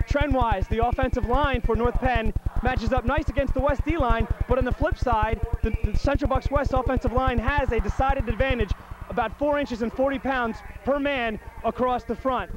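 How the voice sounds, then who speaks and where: An extremely high-pitched man, with very even loudness, fairly even intonation, a dry sound with no echo, and noticeable background noise. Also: moderate pace. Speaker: sideline reporter. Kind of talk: sideline report. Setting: outdoors on football sideline. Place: stadium. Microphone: handheld.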